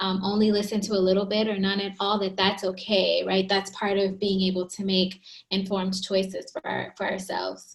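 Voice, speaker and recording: A somewhat breathy woman's voice, medium in pitch and flat, monotone in intonation. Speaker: psychologist. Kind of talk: interview. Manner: soft-spoken.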